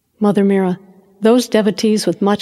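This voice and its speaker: A woman with a normal speaking voice, medium pitch and a moderate pace, in an American accent. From United States. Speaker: audiobook narrator. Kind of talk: reading aloud.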